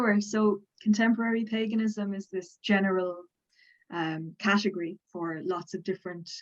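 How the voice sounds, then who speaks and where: A woman with a Dublin accent speaks at a moderate pace in a medium pitch, with ordinary pitch variation. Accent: Southern Irish (Dublin). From Ireland, Dublin. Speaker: folklorist and religion lecturer. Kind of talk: interview on academic topic.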